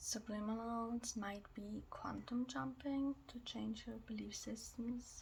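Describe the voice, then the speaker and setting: Over noticeable background noise, a soft-spoken woman speaks at a very slow pace. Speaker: reiki ASMR healer. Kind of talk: ASMR reiki healing session.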